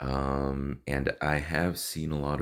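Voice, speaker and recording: This is a man's voice. He speaks with a Spanish accent. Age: 30s. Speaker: vlogger sharing personal health story. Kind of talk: personal testimony vlog. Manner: hesitant, many fillers and repetitions.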